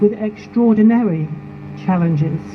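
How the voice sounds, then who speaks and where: Noticeable background noise runs under a voice that moves at a fairly slow pace with ordinary pitch variation. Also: woman. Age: 70s. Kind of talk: protest speech. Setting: outdoor protest rally.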